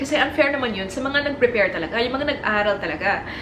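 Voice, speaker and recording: A woman with a Filipino accent talks very fast in a high voice, with noticeable background noise. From Philippines. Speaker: corporate lawyer. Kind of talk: storytime vlog in English and Tagalog.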